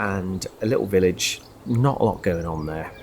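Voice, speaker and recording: The tone is relaxed, with noticeable background noise behind it. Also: man. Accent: Birmingham. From West Midlands, England (north-east Birmingham, Sutton Coldfield). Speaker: travel vlogger. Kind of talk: casual vlog narration. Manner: relaxed, hesitant with fillers.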